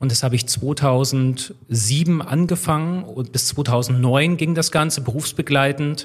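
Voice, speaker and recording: Speaking at a very slow pace with hardly any pauses, a man sounds somewhat breathy and uses ordinary pitch variation. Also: fairly high pitch for a man. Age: 30s. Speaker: railway systems engineer, former train driver. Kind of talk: podcast interview.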